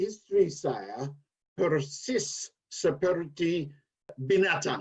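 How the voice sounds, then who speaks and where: The speaker is a man with a high pitch. He talks at a very slow pace, and his pitch varies in an ordinary way. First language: English (speaking Indonesian). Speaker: former Indonesian language student, guest. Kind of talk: casual interview chat.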